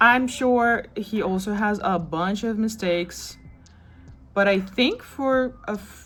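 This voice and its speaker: A woman with a non-native accent, fairly high-pitched, very slow, with lively intonation and music in the background. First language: not English. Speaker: crochet vlogger. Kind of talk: casual vlog show-and-tell. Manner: casual, chatty.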